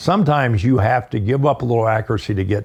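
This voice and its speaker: Speaking at a fairly quick pace with an American accent, a man sounds somewhat breathy, with ordinary pitch variation, on a very clean recording with a silent background. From eastern US. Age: 70s. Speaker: firearms instructor. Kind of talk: casual chat.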